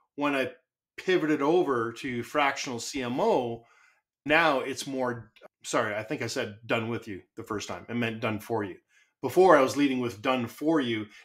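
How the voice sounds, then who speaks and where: A man's medium-pitched voice with a Canadian accent, moderate pace and ordinary pitch variation, in a very clean recording with a silent background. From Canada. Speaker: marketing consultant. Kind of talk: podcast interview. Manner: loud; animated.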